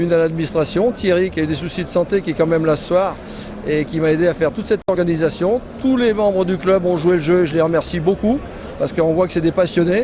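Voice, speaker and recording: Speaking very fast, a man with a high pitch uses ordinary pitch variation over noticeable background noise. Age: 60s. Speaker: motorcycle club president, former racer. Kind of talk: interview. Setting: trade show stand.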